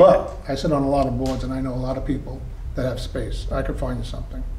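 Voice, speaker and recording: A man speaks at a very fast pace, with light background noise and audible room echo. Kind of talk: interview answer, storytelling. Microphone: camera far.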